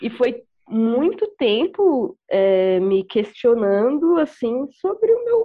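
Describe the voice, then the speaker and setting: A woman speaks at a very slow pace with a high pitch. Her pitch swings very widely. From Brazil, interior of Mato Grosso do Sul. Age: 20s. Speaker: beatmaker. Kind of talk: casual discussion.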